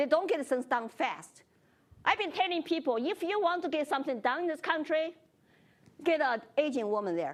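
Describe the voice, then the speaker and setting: A woman with a Chinese accent speaks in a high voice at a moderate pace, with lively intonation. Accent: Chinese accent, noticeable. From China. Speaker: congressional candidate. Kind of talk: moderated forum discussion.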